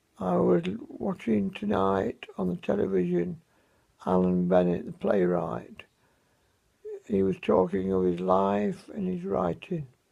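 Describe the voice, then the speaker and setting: In an English accent, a man with a very deep, low pitch and a dark, mellow tone talks at a fairly slow pace with ordinary pitch variation and long, frequent pauses. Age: 70s. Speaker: vlogger. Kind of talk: personal video diary. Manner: halting.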